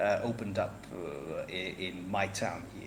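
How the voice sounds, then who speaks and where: With a non-native accent, a man speaks through audible room echo and noticeable background noise. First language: not English. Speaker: podcast guest, wargaming hobbyist. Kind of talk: casual chat. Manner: halting, many fillers.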